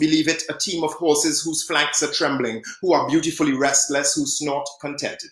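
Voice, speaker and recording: A man speaks in a fairly high voice with an American accent. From Trinidad. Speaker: poet. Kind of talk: poetry reading; casual introduction.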